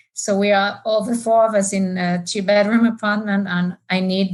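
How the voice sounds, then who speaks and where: A woman speaks at a fairly slow pace with a somewhat breathy voice. Her intonation is monotone and flat. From France. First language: French. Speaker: market research executive and amateur runner. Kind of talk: podcast interview.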